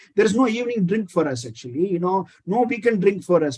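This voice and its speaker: A high-pitched man with an Indian accent at a fairly quick pace. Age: 50s. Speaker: critical care physician. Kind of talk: interview.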